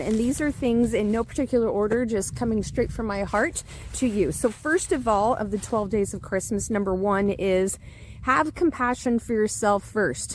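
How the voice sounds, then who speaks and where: A woman speaks in an animated tone with ordinary pitch variation over noticeable background noise. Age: 50s. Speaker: leadership coach. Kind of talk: casual monologue to camera.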